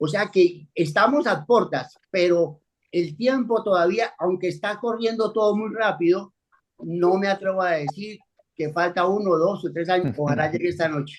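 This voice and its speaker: Ordinary pitch variation and a moderate pace in a man's high-pitched voice. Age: 70s. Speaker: pastor. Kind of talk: bible study discussion.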